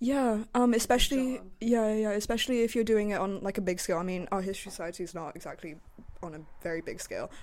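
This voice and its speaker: A woman talks very fast at a fairly high pitch with ordinary pitch variation. Her loudness swings widely. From China. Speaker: student podcast co-host. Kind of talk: casual chat.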